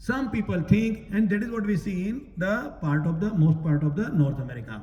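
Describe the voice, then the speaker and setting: In a room with audible echo, a man speaks fairly slowly in a high pitch with lively intonation. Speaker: Gita teacher at a temple. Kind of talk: religious discourse. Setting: temple hall, also streamed online.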